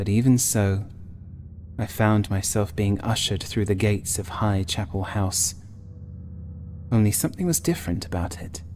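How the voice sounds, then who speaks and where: With music in the background, a man at a fairly low pitch speaks with ordinary pitch variation and long, frequent pauses. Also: moderate pace. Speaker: writer and narrator. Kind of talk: gothic horror audiobook reading.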